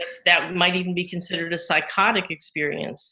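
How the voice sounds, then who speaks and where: The voice belongs to a woman. It sits fairly low in pitch. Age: 60s. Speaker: psychotherapist. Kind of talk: interview. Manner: halting, many self-repeats.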